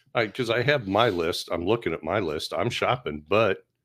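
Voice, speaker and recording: A man speaks at a fairly slow pace. The recording is very clean, with a silent background. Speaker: podcast co-host, corrections worker. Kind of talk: casual chat. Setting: studio, filmed on camera.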